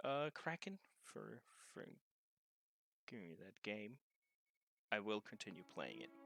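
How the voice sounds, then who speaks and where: Over music in the background, a man talks at a fairly slow pace with long, frequent pauses and big swings in loudness, the sound dry and close with no echo. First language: German. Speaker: video game streamer. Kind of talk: casual chat. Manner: halting.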